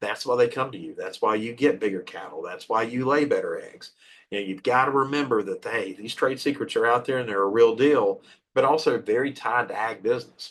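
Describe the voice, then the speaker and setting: With big swings in loudness, a man speaks at a fairly quick pace. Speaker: workshop presenter on intellectual property. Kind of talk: educational workshop. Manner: fast; animated.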